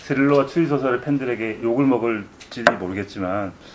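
Over noticeable background noise, a man of medium pitch speaks at a moderate pace with ordinary pitch variation. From South Korea. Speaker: novelist. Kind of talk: interview answers at a book event. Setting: room with live audience, no sound system.

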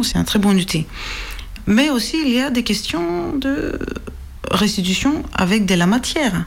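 Someone speaks with a Greek accent over noticeable background noise. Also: woman. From Greece. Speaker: archaeology PhD student. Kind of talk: explanatory interview.

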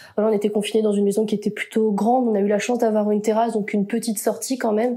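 A woman speaks very fast at a fairly high pitch, her intonation monotone and flat. Her loudness stays very even throughout. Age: 20s. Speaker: university student. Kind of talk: casual chat.

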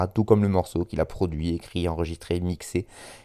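A man with a very deep, low pitch and a dark, mellow tone speaks at a moderate pace and fairly even intonation on a very clean recording with a silent background. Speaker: radio host. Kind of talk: radio music show presentation. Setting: home recording, windows open with outside noise. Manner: hesitant with fillers.

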